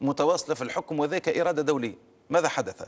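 A man's fairly high voice with vocal fry, at a fairly quick pace. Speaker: party spokesman. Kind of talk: TV political interview.

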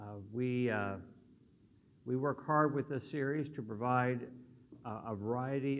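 Speech moves along at a moderate pace, and the pitch varies in an ordinary way. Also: man. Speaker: church teacher. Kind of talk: lecture. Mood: relaxed, friendly. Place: hall.

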